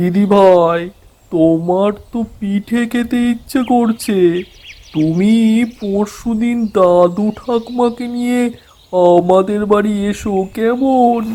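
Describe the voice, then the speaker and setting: A man does a cartoonish character voice at a high pitch. He speaks at a very slow pace. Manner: warm, folksy.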